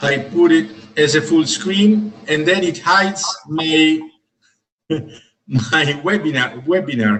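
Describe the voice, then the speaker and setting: A man with an Italian accent talks at a very slow pace in a fairly high voice. His intonation is lively, and he leaves long, frequent pauses. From Italy. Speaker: professor. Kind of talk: graduation speech. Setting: video call.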